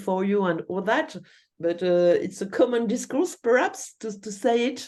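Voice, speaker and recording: Lively intonation marks a woman's dark, mellow tone, delivered with a French accent. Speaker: university researcher. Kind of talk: lecture Q&A. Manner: halting, many fillers.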